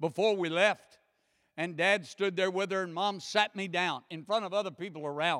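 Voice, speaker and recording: A man with an American accent talks at a moderate pace in a high voice with a bright, sharp tone. The recording is very clean, with a silent background. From United States. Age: 60s. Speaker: guest preacher. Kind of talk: sermon. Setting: church. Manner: animated.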